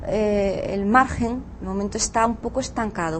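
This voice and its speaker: A woman speaks over noticeable background noise. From Catalonia, Spain. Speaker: law professor. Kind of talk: interview. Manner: halting.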